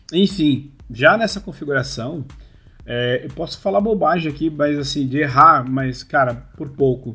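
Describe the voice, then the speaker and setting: A man with a bright, sharp tone speaks at fairly high pitch. His pace is fairly slow, and his pitch varies in an ordinary way. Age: 40s. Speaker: amusement park industry professional. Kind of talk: casual interview.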